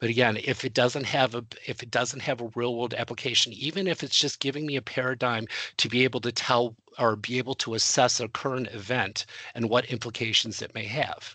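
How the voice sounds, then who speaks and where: With a bright, sharp tone, a man talks at medium pitch and a fairly quick pace, keeping his intonation fairly even. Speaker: webinar presenter for adjunct faculty. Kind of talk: webinar presentation. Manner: fast; halting, many fillers and repetitions.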